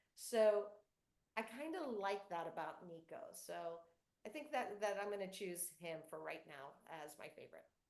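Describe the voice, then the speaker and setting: At a moderate pace, the voice moves through very wide pitch swings and big swings in loudness, with audible room echo. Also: woman, medium pitch for a woman. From US South, North Florida, Cuban-American family. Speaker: children's book author. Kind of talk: author Q&A with school students.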